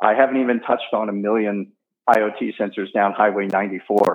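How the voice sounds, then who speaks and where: In an American accent, a man speaks at a fairly low pitch with monotone, flat intonation. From US Midwest, St. Louis, Missouri. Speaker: state chief data officer. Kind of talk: interview.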